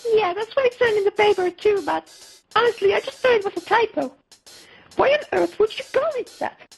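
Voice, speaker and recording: In a put-on character voice, a woman squeaks at an extremely high pitch, with ordinary pitch variation and a fairly quick pace. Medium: machinima. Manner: polite, giggly.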